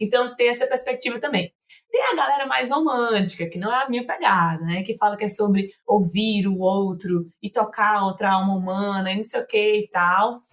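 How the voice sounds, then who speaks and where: A woman at a medium pitch, with ordinary pitch variation, a moderate pace and hardly any pauses. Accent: northeastern Brazilian. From Fortaleza, northeast Brazil. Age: 20s. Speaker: psychologist. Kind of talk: podcast interview. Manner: informal, conversational.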